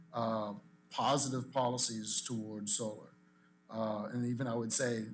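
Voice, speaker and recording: Audible room echo follows a man speaking at a moderate pace. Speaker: industry association president. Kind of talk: public comment at meeting. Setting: public commission meeting.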